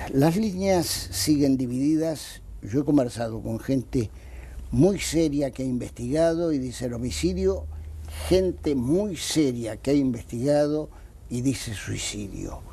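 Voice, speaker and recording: Speaking with an Argentine accent, a man talks at a fairly slow pace with lively intonation. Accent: Argentine Spanish (Rioplatense). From Argentina. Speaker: anti-corruption lawyer. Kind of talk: TV interview. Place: studio. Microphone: lapel.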